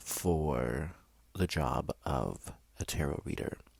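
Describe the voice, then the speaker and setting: A soft-spoken man talks at a very slow pace. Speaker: vlogger. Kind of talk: casual chat. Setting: in a bedroom, doors open.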